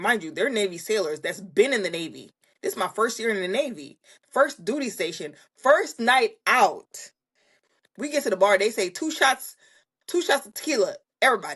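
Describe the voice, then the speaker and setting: With an American accent, a woman talks at a moderate pace. Her fairly high pitch makes very wide swings. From Jamaica. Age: 30s. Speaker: content creator, Navy member. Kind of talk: casual chat.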